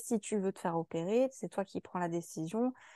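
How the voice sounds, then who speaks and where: A woman speaks at a moderate pace and medium pitch with fairly even intonation. Her tone is dark and mellow, and the sound is dry and close with no echo over a quiet background. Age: 30s. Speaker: patient sharing her experience. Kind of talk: testimony. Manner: halting, many fillers.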